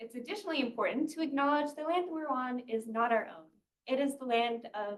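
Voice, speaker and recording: A soft-spoken woman's high voice with lively intonation. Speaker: graduate student researcher. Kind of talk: research seminar talk. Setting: seminar room with audience.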